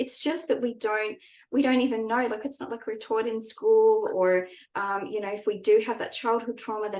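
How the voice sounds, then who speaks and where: At a fairly quick pace, an ordinary speaking voice moves through ordinary pitch variation. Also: woman. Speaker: trauma-informed spiritual coach. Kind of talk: online workshop talk.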